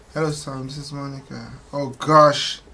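Background noise is clearly audible here. Over it, a man speaks. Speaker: reaction video youtuber. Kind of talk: reaction commentary.

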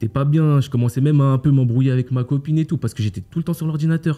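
A man's very fast, somewhat breathy speech in a dark, mellow tone with ordinary pitch variation. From France (Paris area). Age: 20s. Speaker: e-commerce coach. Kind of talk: interview. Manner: casual, slangy.

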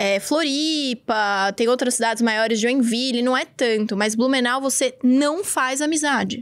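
A woman with a São Paulo accent speaks at a high pitch with ordinary pitch variation, very even loudness, and hardly any pauses over a quiet background. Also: fairly slow pace. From Brazil, São Paulo. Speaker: podcast host. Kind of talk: casual chat. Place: studio. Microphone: studio mic.

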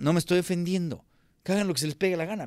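A man speaks in a Mexico City accent with an animated tone. The sound is dry with no echo, and the background is quiet. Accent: Mexican Spanish (Mexico City). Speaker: film critic, channel host; channel host. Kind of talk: film review monologue. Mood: annoyed, critical, sarcastic. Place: home room. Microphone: studio mic.

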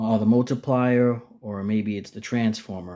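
Against a quiet background, a man with a dark, mellow tone talks at a moderate pace with fairly even intonation. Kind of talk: casual explanation of a project. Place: home room. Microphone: phone near.

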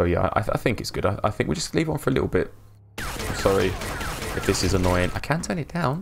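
Noticeable background noise sits behind a man with a London accent. He talks very fast at a fairly low pitch. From London, England. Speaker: video game live streamer. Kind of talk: live gameplay stream chat. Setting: live stream. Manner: monotone. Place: home room.

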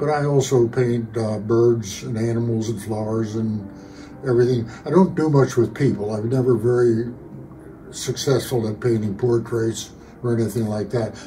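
With music in the background, a man talks at a moderate pace. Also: fairly even intonation. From Pennsylvania, USA. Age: 80s+. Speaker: amateur painter; military veteran. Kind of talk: interview answer. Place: home room.

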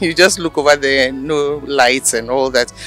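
Clear music plays in the background while a man speaks at a moderate pace. His voice sounds dry with no echo. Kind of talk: interview answer. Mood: warm, nostalgic. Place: street. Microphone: handheld.

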